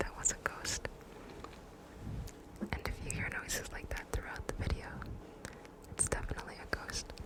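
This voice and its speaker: Against noticeable background noise, a woman whispers with long, frequent pauses. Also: moderate pace. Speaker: ASMR creator. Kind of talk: casual talk to camera intro. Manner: casual, conversational, mostly whispered.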